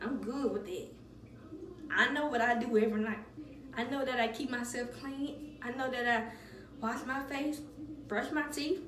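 Amid audible room echo and light background noise, a woman speaks at a moderate pace with a high pitch, fairly even intonation and long, frequent pauses. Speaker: beauty vlogger. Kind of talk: casual vlog chat. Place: bathroom. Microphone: phone near.

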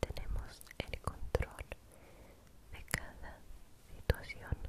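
A woman is speaking. She is whispering. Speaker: ASMR creator. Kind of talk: guided relaxation for sleep. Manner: soft-spoken, slow. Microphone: studio mic.

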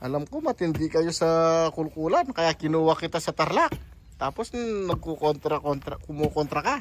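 A man speaks at a moderate pace in a high voice, with ordinary pitch variation. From Pampanga, Philippines. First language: Kapampangan (speaking Tagalog). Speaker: construction contractor vlogger. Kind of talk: casual vlog narration. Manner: halting.

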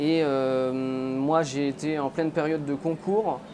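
Noticeable background noise can be heard. Over it, a man talks with fairly even intonation. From France, Nancy (Lorraine); Lorraine, France. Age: 30s. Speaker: charcutier-caterer, business owner. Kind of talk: interview testimony. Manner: halting, many hesitations. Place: shop. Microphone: lapel.

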